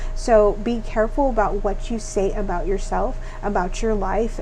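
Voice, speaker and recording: A woman speaks with fairly even intonation. Noticeable background noise and audible room echo are present. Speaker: tarot reader. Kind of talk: tarot reading monologue. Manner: fast; hesitant, many fillers.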